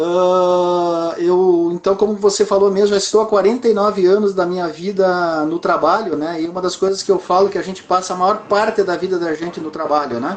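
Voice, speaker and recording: Amid noticeable background noise, a man talks at a high pitch with fairly even intonation and hardly any pauses. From southern Brazil (Rio Grande do Sul). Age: 60s. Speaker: entrepreneur. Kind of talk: interview. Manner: halting, frequent fillers.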